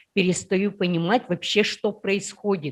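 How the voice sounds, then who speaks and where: In an Udmurtia accent, a woman speaks at a moderate pace. Her pitch sits in the medium range. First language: Udmurt (speaking Russian). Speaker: workshop participant. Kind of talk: personal story in group discussion.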